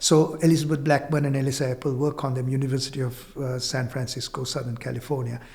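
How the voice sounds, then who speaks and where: Very fast, somewhat breathy speech from a man at medium pitch, monotone and flat, with hardly any pauses. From Sri Lanka. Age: 60s. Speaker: engineer and spiritual speaker. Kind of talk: podcast conversation. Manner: repetitive, halting with restarts.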